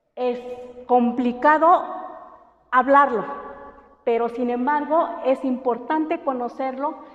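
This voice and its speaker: A woman's high voice at a very slow pace, with fairly even intonation, long, frequent pauses and audible room echo. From Oaxaca coast, Mexico (Santa María Huazolotitlán). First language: Mixtec (speaking Spanish). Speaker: language teacher. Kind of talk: lecture. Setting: classroom. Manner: hesitant, many fillers.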